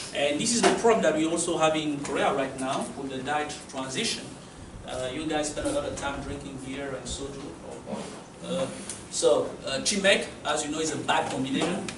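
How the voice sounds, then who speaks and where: Audible room echo and noticeable background noise surround a man with a French accent. His fairly high pitch shows ordinary variation at a moderate pace. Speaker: university lecturer. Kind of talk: lecture.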